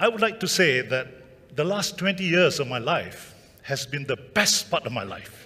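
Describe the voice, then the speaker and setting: A man's high voice at a moderate pace, full of very wide pitch swings. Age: 70s. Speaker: retiree and photographer. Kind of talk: conference talk. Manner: halting, many fillers; energetic.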